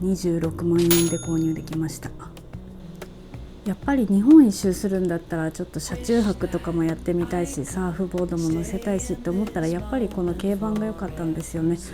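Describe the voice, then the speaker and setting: A woman with a fairly low pitch talks at a very fast pace over music in the background. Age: 40s. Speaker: travel vlogger. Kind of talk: casual talk to camera.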